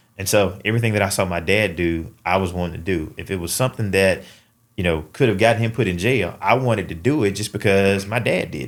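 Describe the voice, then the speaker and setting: A man with a Southern US accent speaks at a very fast pace and a fairly low pitch. The recording is very clean, with a silent background. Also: ordinary pitch variation. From Mississippi, US South. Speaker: father, bank employee. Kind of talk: podcast interview. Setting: studio.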